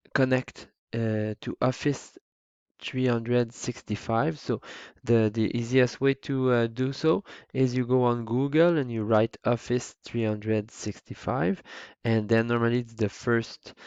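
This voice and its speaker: A man with a Quebec accent, fairly slow, with fairly even intonation. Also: medium pitch for a man. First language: French. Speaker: teacher. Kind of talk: tutorial. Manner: halting, many fillers.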